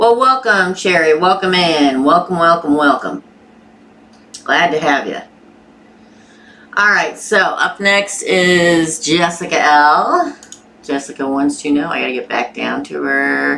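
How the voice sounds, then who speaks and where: A woman speaks with a Southern US accent, her fairly low-pitched voice bright and sharp in tone. She talks at a fairly slow pace with lively intonation and long, frequent pauses. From Missouri, US. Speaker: tarot reader. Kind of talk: live-stream tarot reading. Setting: live stream with chat. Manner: casual, chatty.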